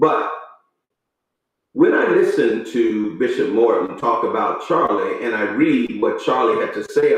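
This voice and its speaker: A man with an American accent, amid audible room echo. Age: 60s. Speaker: pastor. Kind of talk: commentary monologue. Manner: halting.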